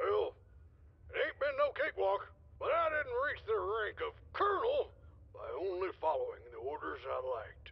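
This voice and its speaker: Someone puts on a character voice, extremely high in pitch, at a moderate pace. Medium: video game. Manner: gruff, folksy.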